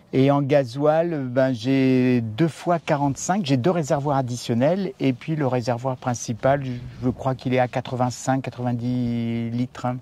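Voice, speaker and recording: A medium-pitched male voice with a dark, mellow tone, ordinary pitch variation and a fairly slow pace. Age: 60s. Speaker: retired overland traveller. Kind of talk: casual interview. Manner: halting, many hesitations.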